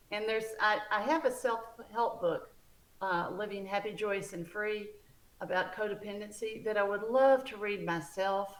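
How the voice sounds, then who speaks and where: Speaking at a moderate pace, a woman with a Southern US accent uses a medium pitch. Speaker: book author. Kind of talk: interview.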